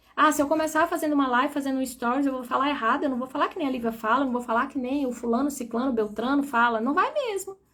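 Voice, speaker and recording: A fairly quick delivery from a woman with a high pitch. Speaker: spiritual coach. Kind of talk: live stream talk.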